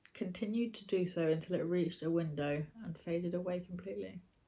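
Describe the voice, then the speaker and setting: A woman with a British accent speaks in a dark, mellow tone, keeping her intonation fairly even. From Britain. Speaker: YouTuber and storyteller. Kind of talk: horror story reading.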